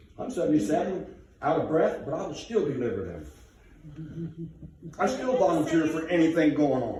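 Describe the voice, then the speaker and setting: A man speaks at a moderate pace in a fairly high pitch, with an animated tone and lively intonation. Audible room echo and noticeable background noise surround him. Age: 70s. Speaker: resident speaking at town council meeting. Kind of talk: public comment at meeting, heated. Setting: council meeting room.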